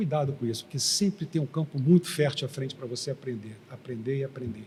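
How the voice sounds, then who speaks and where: This man has an ordinary speaking voice, fairly high in pitch. He moves at a moderate pace with ordinary pitch variation. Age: 60s. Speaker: engineer and former oil company executive. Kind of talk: interview. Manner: conversational.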